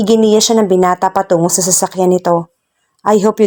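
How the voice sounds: Against a quiet background, a natural reading voice carries fairly even intonation.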